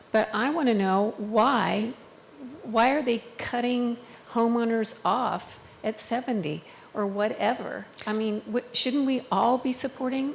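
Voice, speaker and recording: A woman with a fairly high pitch and ordinary pitch variation talks at a fairly slow pace over noticeable background noise. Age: 70s. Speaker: audience member. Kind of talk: audience question. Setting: senior center forum with audience.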